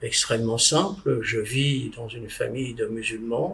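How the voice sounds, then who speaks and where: A man is speaking here. His pace is very slow. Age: 70s. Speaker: former mayor, spiritual convert. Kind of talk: testimony. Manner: halting, with hesitations.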